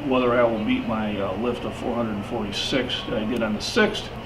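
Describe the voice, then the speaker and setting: With fairly even intonation, a medium-pitched man speaks through noticeable background noise and audible room echo. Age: 60s. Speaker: powerlifter. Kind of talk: casual talk to camera, training tips. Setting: gym. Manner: halting, many repeated words.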